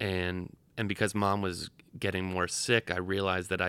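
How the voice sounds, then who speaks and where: On a very clean recording with a silent background, a man with an American accent speaks fairly quickly in a very deep, low pitch, his tone bright and sharp and his intonation monotone and flat. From Rhode Island, US. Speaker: bereaved caregiver and theatre maker. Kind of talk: interview storytelling.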